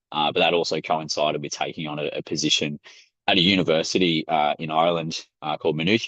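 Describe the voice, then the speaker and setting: A man with an Australian accent speaks at a very fast pace in a very deep, low pitch. The sound is dry and close, with no echo. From Australia, Melbourne. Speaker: sports science academic. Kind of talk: webinar presentation. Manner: hesitant, many fillers.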